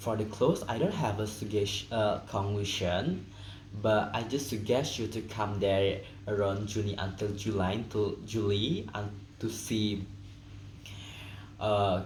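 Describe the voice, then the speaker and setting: In a room with audible echo, a man speaks at a very slow pace with long, frequent pauses, his fairly low voice somewhat breathy and fairly even in intonation. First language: Indonesian or Balinese. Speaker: student. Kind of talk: class presentation, unscripted. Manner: halting.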